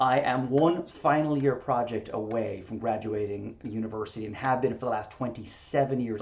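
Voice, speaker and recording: Energetic in tone, a man with an Irish accent speaks at a moderate pace and a medium pitch, with ordinary pitch variation. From Ireland, Limerick. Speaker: real estate broker and association leader. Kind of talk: podcast interview.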